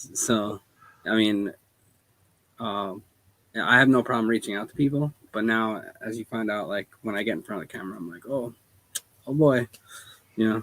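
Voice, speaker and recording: A quiet man pauses long and often, his loudness swinging widely. His pitch is medium, with ordinary variation. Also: moderate pace. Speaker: small business owner. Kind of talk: casual chat.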